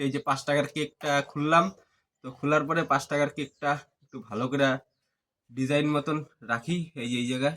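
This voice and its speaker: This man's voice has a bright, sharp tone and fairly even intonation. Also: fairly high pitch for a man, very clean recording, silent background. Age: 20s. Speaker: vlogger. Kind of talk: casual vlog talk.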